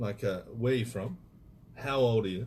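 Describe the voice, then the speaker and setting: A somewhat breathy voice with fairly even intonation and an Australian accent. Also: man. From Australia (Perth/Fremantle). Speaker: radio host. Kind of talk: radio interview. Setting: studio.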